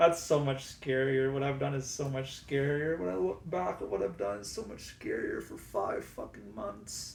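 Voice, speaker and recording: Very wide pitch swings from a man of medium pitch, at a moderate pace with hardly any pauses, in audible room echo. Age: 20s. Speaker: cancer patient vlogger. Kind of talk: reading aloud.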